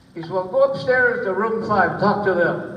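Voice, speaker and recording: A man talks with an American accent. There is noticeable background noise. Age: 80s+. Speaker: war veteran. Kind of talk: interview answer.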